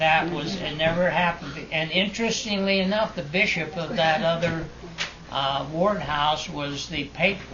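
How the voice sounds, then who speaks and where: The speaker keeps a moderate pace and fairly even intonation over noticeable background noise. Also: man, high pitch for a man. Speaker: grandfather. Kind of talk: family storytelling. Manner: hesitant, halting.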